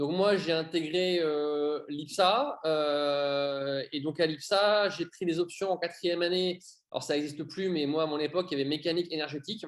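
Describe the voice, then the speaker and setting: A man speaks with an ordinary speaking voice, fairly high in pitch and fairly even in intonation. The background is quiet. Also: moderate pace. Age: 30s. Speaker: airline pilot. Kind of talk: interview.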